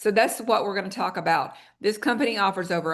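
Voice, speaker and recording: The woman has an unremarkable speaking voice and keeps a moderate pace. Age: 60s. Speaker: wellness product presenter. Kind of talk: sales pitch. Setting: video call. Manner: conversational.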